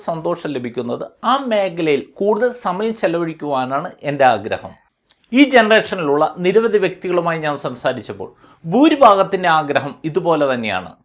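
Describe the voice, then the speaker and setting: This man's high pitch moves in very wide swings. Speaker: financial advisor. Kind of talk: financial video blog. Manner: formal.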